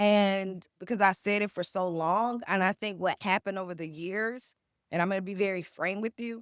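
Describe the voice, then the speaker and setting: A woman speaks at medium pitch and a moderate pace, with fairly even intonation, in a plain, everyday voice. The recording is very clean, with a silent background. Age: 40s. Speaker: cookbook author and food writer. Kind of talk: interview.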